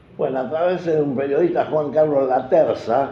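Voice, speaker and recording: A man is speaking with audible room echo. There is noticeable background noise. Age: 80s+. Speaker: football club veteran supporter. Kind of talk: interview storytelling.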